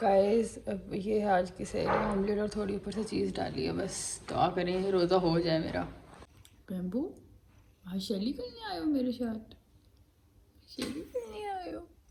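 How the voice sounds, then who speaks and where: Fairly slow speech from a woman, amid noticeable background noise and audible room echo. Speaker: vlogger. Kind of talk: casual vlog.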